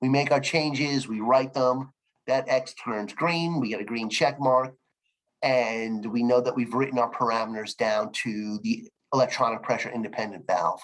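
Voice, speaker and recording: At a moderate pace, a man talks in an ordinary speaking voice with a medium pitch and ordinary pitch variation. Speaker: sales trainer for a manufacturer. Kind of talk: training webinar.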